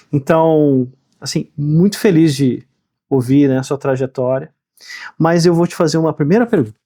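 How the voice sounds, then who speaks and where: A man talks in a fairly high voice with a dark, mellow tone. Long, frequent pauses break up his speech, and the sound is dry and close with no echo. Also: ordinary pitch variation, moderate pace. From Rio Grande do Sul, Brazil. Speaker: podcast host. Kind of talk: podcast interview.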